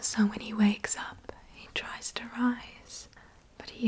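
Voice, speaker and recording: The whispering is very slow. Noticeable background noise lies beneath it. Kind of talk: whispered bilingual ASMR fairy tale narration; bedtime story reading. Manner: whispered, soft-spoken.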